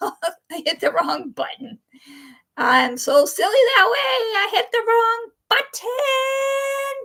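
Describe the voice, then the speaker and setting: A woman speaks at an extremely high pitch in a bright, sharp tone, raised and projected, very slowly and with very wide pitch swings. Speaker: livestream host. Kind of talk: casual livestream chat. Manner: loud.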